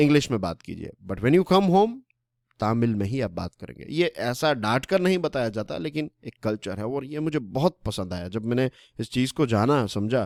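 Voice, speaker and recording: The sound is dry and close, with no echo, in a very clean recording with a silent background. A man speaks with very wide pitch swings. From Gujarat, Saurashtra (Kathiawar). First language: Gujarati (speaking Hindi). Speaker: current affairs educator. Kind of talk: lecture. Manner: conversational, Hindi-English code-mixing.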